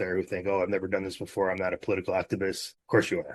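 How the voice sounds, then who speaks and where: Against a quiet background, a man speaks at a fairly low pitch. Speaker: activist, movement co-founder. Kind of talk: interview conversation. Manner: fast.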